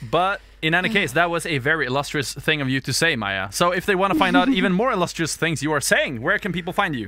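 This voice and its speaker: With a non-native accent, the speaker races at a very fast pace with hardly any pauses and lively intonation over noticeable background noise. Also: man, high pitch for a man. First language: not English. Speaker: podcast co-host. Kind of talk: casual chat.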